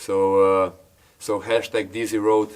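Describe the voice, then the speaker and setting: A man with a Slovenian accent and a fairly low pitch. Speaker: YouTuber building an off-grid log cabin. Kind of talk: casual Q&A talk to camera. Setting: at the log cabin. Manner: hesitant, many filler words.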